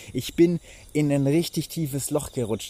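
An animated delivery at a moderate pace. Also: man. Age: 20s. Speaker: life coach and podcaster. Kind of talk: motivational monologue. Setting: outdoors.

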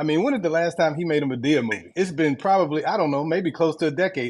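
Talking at a very fast pace, a man with an American accent has a high pitch. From Washington DC area (US). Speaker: panelist in live audio room. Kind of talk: casual discussion. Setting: online audio room.

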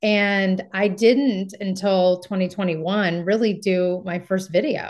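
A woman with an American accent at medium pitch, speaking at a very slow pace over a quiet background. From US West Coast, Marin County, California. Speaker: real estate agent. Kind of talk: interview.

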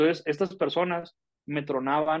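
A man with a Mexican accent, his fairly high voice held in fairly even intonation. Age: 30s. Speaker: podcast co-host, business consultant. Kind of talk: casual chat.

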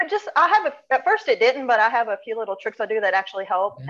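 A woman with a strong Southern US accent talks at a very fast pace, her fairly high pitch carrying lively intonation. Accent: strong Southern US (hillbilly). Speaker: actress. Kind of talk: casual interview. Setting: video call.

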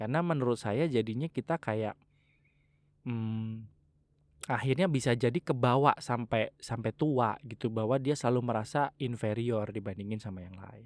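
A man with an ordinary speaking voice talks at medium pitch and a moderate pace, with ordinary pitch variation and big swings in loudness. The recording is very clean and dry, with a silent background and no echo. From Java, Indonesia. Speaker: podcast host. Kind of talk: casual monologue.

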